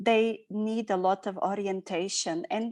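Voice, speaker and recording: Dry and close with no echo, a woman's fairly high voice carries a non-native accent. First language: Portuguese. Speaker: nanny. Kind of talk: video call group discussion. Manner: halting.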